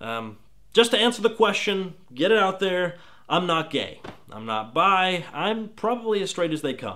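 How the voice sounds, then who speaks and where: A man with an American accent projects a raised, high voice with a bright, sharp tone, very wide pitch swings, and big swings in loudness at a moderate pace. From Texas. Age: 20s. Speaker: gaming video critic. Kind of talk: casual Q&A vlog.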